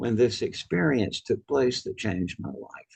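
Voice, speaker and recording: A man with a Southern US accent. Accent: Southern US (Georgia). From US South. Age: 80s+. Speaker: author and near-death experience researcher. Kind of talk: interview.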